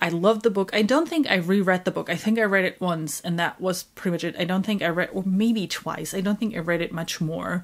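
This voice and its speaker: Recorded very cleanly over a silent background, a woman speaks. She talks at a fairly quick pace with a German accent. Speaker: book YouTuber. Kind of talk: casual monologue.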